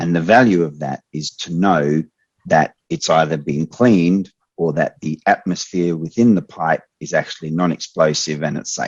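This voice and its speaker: A man's very deep, low voice in an Australian accent, at a moderate pace with ordinary pitch variation. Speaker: expert trainer. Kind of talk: online training Q&A.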